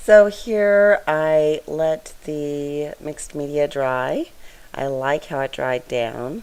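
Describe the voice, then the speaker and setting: Soft-spoken, a woman talks at a very slow pace in a very deep, low pitch with lively intonation. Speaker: scrapbooking video creator. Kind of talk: tutorial voiceover. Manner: soft-spoken, straining to be loud; casual, chatty.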